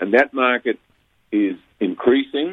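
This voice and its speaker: A man with a New Zealand accent speaks at a fairly slow pace, his medium-pitched voice showing ordinary pitch variation. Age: 70s. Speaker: orchid hybridizer and grower. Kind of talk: radio interview. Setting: radio studio. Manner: halting, many false starts.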